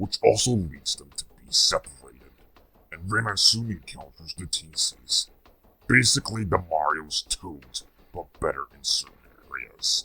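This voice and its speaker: A put-on character voice from a man, medium in pitch, at a moderate pace. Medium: solo performance. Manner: scornful, sarcastic.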